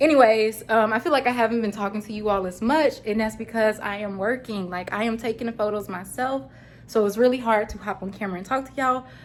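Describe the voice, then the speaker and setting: Here a woman talks at a very fast pace. Her voice is fairly high, with ordinary pitch variation. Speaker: vlogger and online boutique owner. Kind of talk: casual vlog.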